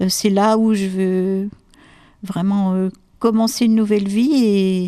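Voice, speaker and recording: This woman's pitch is medium and her tone dark and mellow. She speaks with monotone, flat intonation. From Normandy, France. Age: 60s. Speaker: retired lighthouse keeper, amateur actress. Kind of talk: interview. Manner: hesitant, many fillers.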